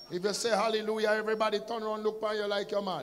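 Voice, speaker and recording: A man with a Jamaican accent speaks at a high pitch in a monotone, flat intonation. Light background noise sits behind him. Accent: Jamaican, patois-inflected. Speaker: pastor. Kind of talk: sermon. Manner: loud; shouting. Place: church. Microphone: handheld.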